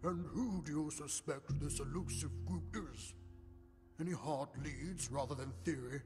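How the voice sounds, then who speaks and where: With clear music in the background, a man does a put-on character voice at a fairly high pitch and a moderate pace. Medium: voice reel. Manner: brusque, formal.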